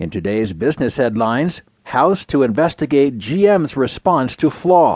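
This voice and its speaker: The speaker is a man talking at a moderate tempo. His pitch rises and falls very widely. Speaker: audiobook news narrator. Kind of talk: scripted news reading of newspaper stories, headline rundown then full article. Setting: studio. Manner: measured, crisp broadcast delivery, even newsreader cadence; formal, neutral and detached, reading long complex sentences smoothly.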